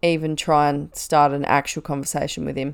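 A woman with a very deep, low voice talks at a moderate pace, heard on a very clean recording against a silent background. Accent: Australian. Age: 20s. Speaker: podcast host and nurse. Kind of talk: casual monologue.

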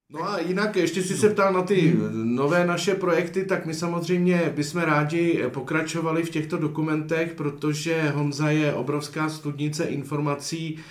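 Speaking at a moderate pace, a man with a fairly high pitch keeps his intonation fairly even while noticeable background noise and audible room echo come through. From Chodsko region, western Bohemia. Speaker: documentary filmmaker. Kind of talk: interview. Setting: cinema hall.

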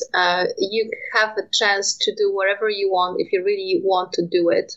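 Fairly even intonation with a Polish accent. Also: woman. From Poland. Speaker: nuclear industry communications manager. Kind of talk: interview. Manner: halting.

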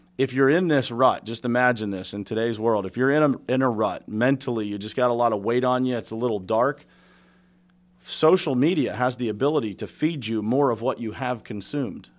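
An ordinary speaking voice with an American accent, a fairly quick pace and ordinary pitch variation, on a very clean recording with a silent background. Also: man, medium pitch for a man. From western Pennsylvania (Pittsburgh area). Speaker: business owner and contractor coach. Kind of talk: casual interview.

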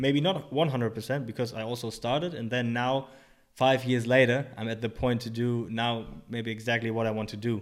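A man speaks at medium pitch with a German accent. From Germany. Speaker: personal trainer and rehab coach. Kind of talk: casual interview. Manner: halting, many fillers.

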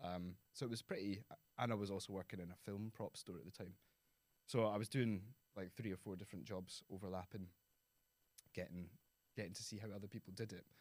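A man with a west of Scotland accent, fairly low in pitch, very fast yet with long, frequent pauses and fairly even intonation. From Scotland, Prestwick (Ayrshire). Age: 30s. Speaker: architect. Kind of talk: interview conversation.

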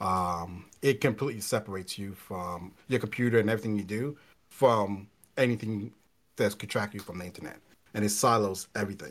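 A man talks at a fairly quick pace in a fairly low pitch, with an unremarkable speaking voice and ordinary pitch variation. His loudness swings widely, and the recording is very clean with a silent background. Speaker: co-host. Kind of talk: casual chat.

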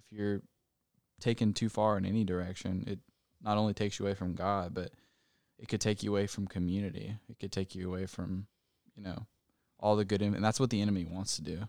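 A man's fairly low voice, monotone and flat, very fast yet broken by long, frequent pauses, with big swings in loudness on a very clean recording against a silent background. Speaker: podcast host. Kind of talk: casual chat.

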